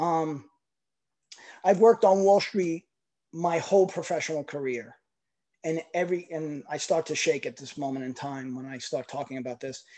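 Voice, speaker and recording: In a New York accent, the speaker goes at a moderate pace with long, frequent pauses against a quiet background. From New York City. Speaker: network marketing team member. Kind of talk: personal testimony.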